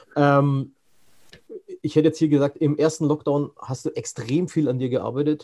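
Pausing long and often, a man with a fairly high, dark and mellow voice speaks at a moderate pace in a flat monotone. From Franconia. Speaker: podcast host. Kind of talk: interview. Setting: video call.

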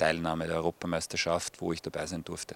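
Very deep and low, a man's voice comes through dry and close with no echo in a very clean recording with a silent background. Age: 40s. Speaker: former footballer. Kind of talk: interview. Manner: hesitant, many fillers.

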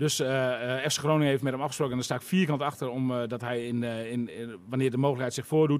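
A man at medium pitch speaks at a very fast pace with hardly any pauses and fairly even intonation. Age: 40s. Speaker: sports reporter. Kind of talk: casual chat.

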